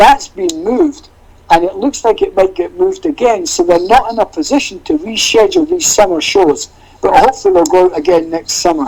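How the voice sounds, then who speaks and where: Extremely high male pitch, very wide swings, fairly quick pace. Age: 60s. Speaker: tour manager. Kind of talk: casual chat.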